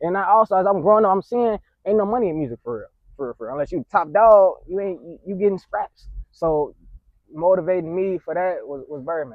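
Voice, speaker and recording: A man's high voice with lively intonation, big swings in loudness, and a fairly quick pace. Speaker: rapper and label owner. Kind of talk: podcast interview.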